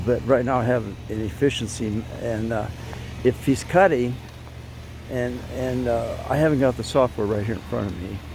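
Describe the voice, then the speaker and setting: There is noticeable background noise behind this man's voice. He talks at a moderate pace, his medium pitch moving with ordinary variation. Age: 80s+. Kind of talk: casual product review to camera. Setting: outdoors. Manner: casual, chatty, hesitant.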